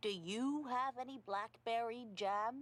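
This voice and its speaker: A female-sounding put-on character voice, fairly high in pitch, at a fairly slow pace. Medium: read story.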